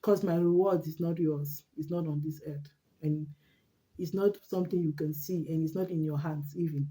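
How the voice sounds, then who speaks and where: A woman's very deep, low voice, somewhat breathy, with a dark, mellow tone and flat, monotone intonation. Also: moderate pace. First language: not English. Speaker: vlogger. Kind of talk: casual monologue vlog. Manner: halting, with repetitions.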